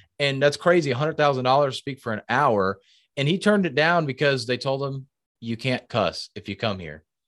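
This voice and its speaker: In an ordinary speaking voice, a man talks at a fairly quick pace with medium pitch and lively intonation, the sound dry and close with no echo. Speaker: speaking coach. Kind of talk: casual interview chat.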